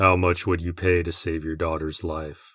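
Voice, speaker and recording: A man growls in a put-on character voice with a very deep, low pitch, a menacing tone and monotone, flat intonation at a moderate pace. The recording is very clean with a silent background. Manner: monotone, menacing.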